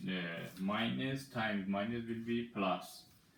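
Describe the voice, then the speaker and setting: Speaking very slowly with a Persian accent, a man shows ordinary pitch variation against audible room echo. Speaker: mathematics teacher. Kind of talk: tutorial. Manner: halting.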